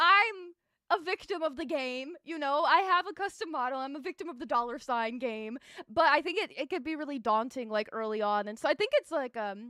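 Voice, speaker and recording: A woman speaks at a high pitch in a raised, projected voice, with a bright, sharp and animated tone. Her pace is fairly quick, her pitch swings are very wide, and the sound is dry and close with no echo. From Mexican-American. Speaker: VTuber streamer. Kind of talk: casual chat. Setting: live stream.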